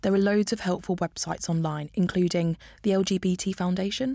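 A woman with an East Midlands accent speaks fairly quickly at a medium pitch in a dark, mellow tone, with ordinary pitch variation, on a very clean recording with a silent background. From Northampton, England. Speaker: podcast host. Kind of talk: scripted narration; casual chat. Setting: studio.

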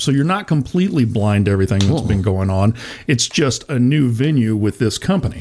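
With lively intonation, a normal speaking voice goes at a fairly quick pace. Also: man. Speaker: radio show host, auto journalist. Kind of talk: casual radio talk. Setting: studio.

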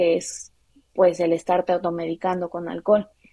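A woman talks at medium pitch with a dark, mellow tone and a moderate pace. The sound is dry and close with no echo. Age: 20s. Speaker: guest with bipolar disorder. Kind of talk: personal testimony.

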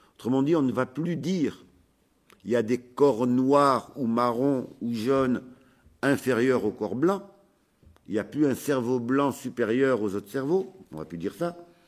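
Lively intonation marks this man's medium-pitched voice. He goes at a fairly slow pace with long, frequent pauses. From France. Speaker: sociologist and activist. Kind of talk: recorded conference talk.

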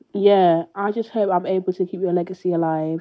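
A woman with a British accent talks at a moderate pace. Her fairly low pitch has fairly even intonation. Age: 20s. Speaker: bereaved listener sharing a message. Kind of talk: recorded personal message to late mother. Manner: halting, with many hesitations.

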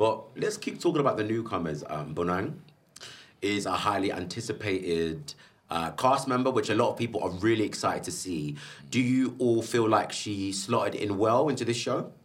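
A British-accented man at medium pitch, moderate pace, and lively intonation. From UK, Zambian heritage. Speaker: podcast host. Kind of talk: casual chat. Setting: stage with audience. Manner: loud; animated.

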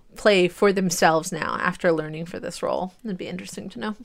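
Recorded very cleanly against a silent background, a woman talks at a fairly low pitch with ordinary pitch variation. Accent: Midwestern American. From US Midwest. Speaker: podcast co-host. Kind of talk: casual chat.

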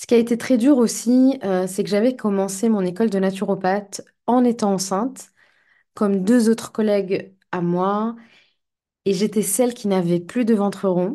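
A woman with a medium pitch speaks at a fairly slow pace with fairly even intonation. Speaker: life coach and podcaster. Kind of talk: solo podcast monologue. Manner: hesitant, many fillers; calmer when speaking of shamanism.

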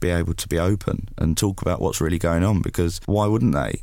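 A man with a very deep, low pitch speaks in an English accent, his intonation fairly even. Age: 20s. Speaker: mental health campaigner. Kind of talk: interview.

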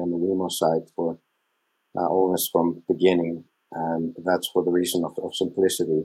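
Speaking with an Icelandic accent at a moderate pace, a man uses a very deep, low pitch, a dark, mellow tone and monotone, flat intonation. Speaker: smart home product manager. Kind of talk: panel interview.

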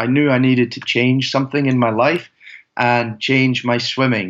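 With a Scottish accent, a man talks at a moderate pace with fairly even intonation. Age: 20s. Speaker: athlete. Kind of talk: interview.

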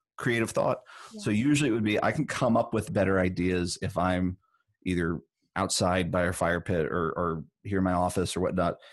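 In an ordinary speaking voice, a man talks at a moderate pace with a fairly low pitch and ordinary pitch variation. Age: 30s. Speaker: songwriter and musician. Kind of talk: casual interview.

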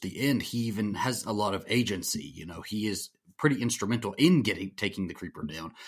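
Speaking at medium pitch and a moderate pace, a man has an unremarkable speaking voice. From US South. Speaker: horror podcaster. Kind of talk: casual chat.

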